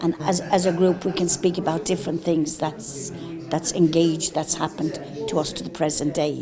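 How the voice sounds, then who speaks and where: A woman with an Irish accent, fairly low-pitched, at a moderate pace with fairly even intonation and noticeable background noise. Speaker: care-home survivor. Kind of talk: TV interview testimony.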